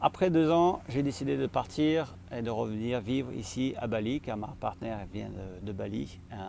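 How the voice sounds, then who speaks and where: Speaking at a moderate pace with hardly any pauses, a man has a dark, mellow tone, a medium pitch and very wide pitch swings. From France. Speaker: vlogger and social entrepreneur. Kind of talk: vlog monologue to camera. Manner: hesitant, many filler pauses.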